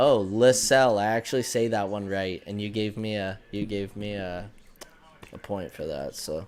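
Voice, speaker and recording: The man talks at a moderate pace in an unremarkable speaking voice. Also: fairly low pitch for a man, fairly even intonation. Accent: Canadian. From Canada, Newfoundland. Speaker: hockey podcast host. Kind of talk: casual chat. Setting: live stream.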